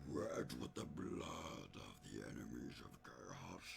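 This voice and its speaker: A man puts on a character voice with a very deep, low pitch at a fairly slow pace. Clear background noise sits behind him. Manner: menacing.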